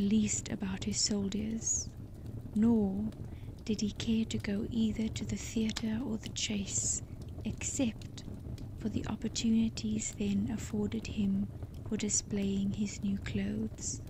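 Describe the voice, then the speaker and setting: Noticeable noise sits in the background. The speech goes very slowly. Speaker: storyteller. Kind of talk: sleep story reading. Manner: soft-spoken, slow.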